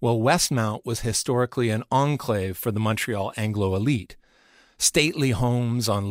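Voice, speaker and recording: Very clean and recorded against a silent background, a man with an unremarkable speaking voice talks at a moderate pace in a medium pitch with ordinary pitch variation. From Vancouver, Canada. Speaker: podcast host and narrator. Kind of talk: scripted narration.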